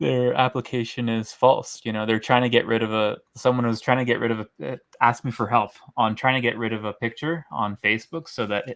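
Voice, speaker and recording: Using an ordinary speaking voice, a man with a Canadian accent talks at a fairly quick pace and medium pitch with fairly even intonation. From Canada. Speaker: caller. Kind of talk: casual chat.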